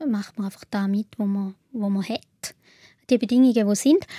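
In a Swiss accent, a woman speaks with a dark, mellow tone, the sound dry and close with no echo. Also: very clean recording, silent background. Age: 30s. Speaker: patient sharing illness experience. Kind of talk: interview.

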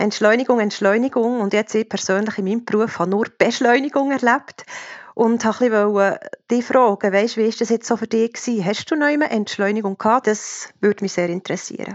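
Fairly even in intonation and fairly quick in pace, this is an unremarkable speaking voice. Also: woman, fairly high pitch for a woman. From Switzerland, canton of Bern. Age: 40s. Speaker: listener asking questions. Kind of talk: casual interview questions.

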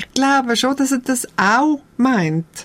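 Here is a woman with a Swiss accent. She speaks at a fairly slow pace. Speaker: documentary filmmaker. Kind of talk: conversational interview. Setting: radio studio.

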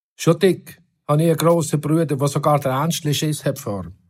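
A man talks at a moderate pace in a fairly high pitch. His voice is somewhat breathy. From Switzerland, Oberbaselbiet. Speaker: musician and author. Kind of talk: reading aloud.

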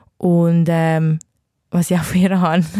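A woman's fairly low, dark and mellow voice, flat and monotone, at a fairly slow pace, in a dry, close recording with no echo. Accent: Zurich. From Switzerland, Zurich. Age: 20s. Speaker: R&B singer. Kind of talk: interview. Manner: halting, many fillers.

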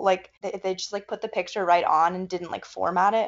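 Here is a woman with an unremarkable speaking voice, her pitch in the middle range. She moves along rather briskly with fairly level intonation. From US South, North Carolina. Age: 20s. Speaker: college student. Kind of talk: interview. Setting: video call.

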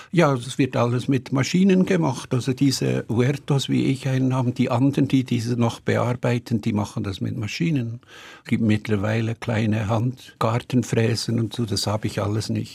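A man with a medium pitch speaks at a moderate pace with hardly any pauses, showing vocal fry and ordinary pitch variation. The recording is very clean with a silent background. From Switzerland, Bern. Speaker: writer. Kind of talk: interview.

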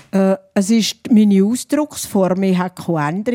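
A woman with a Rhine Valley Swiss accent speaks at medium pitch and a moderate pace, with ordinary pitch variation, in a dry, close sound with no echo. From St. Gallen Rhine Valley, Switzerland. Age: 70s. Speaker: dialect poet. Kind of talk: panel talk. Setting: live audience.

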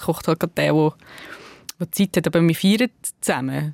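A woman's fairly low voice at a fairly quick pace, in a very clean recording with a silent background and a dry, close sound with no echo. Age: 30s. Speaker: author and journalist. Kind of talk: casual chat. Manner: hesitant, many fillers.

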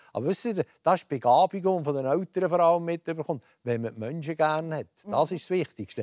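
Talking at a very fast pace with an Aargau accent, a man has a fairly high pitch, a dark, mellow tone and ordinary pitch variation, on a very clean recording with a silent background and a dry, close sound with no echo. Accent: Swiss German, Aargau dialect. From Switzerland, Aargau (Rothrist). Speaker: former politician and transport entrepreneur. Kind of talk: radio talk show interview. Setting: TV studio, broadcast live.

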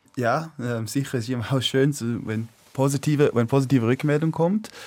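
A man is heard with fairly even intonation. He talks at a moderate pace. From China, Swiss expatriate family. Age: 20s. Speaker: climate activist. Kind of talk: radio talk show debate. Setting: studio. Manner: halting.

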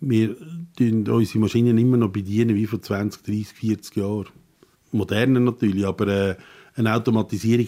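At a fairly quick pace, a man with a fairly low pitch and a dark, mellow tone speaks in fairly even intonation on a very clean recording with a silent background. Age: 60s. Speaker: carpenter. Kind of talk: interview.

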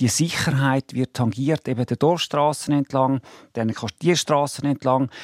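An ordinary speaking voice from a man, pitched medium and paced moderately. The recording is very clean with a silent background and a dry, close sound with no echo. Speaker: car industry association president. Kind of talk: radio debate. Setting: studio.

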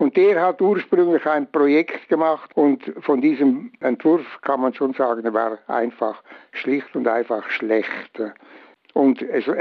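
The man's medium-pitched voice unfolds very slowly. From Switzerland. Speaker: bridge engineer. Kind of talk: interview.

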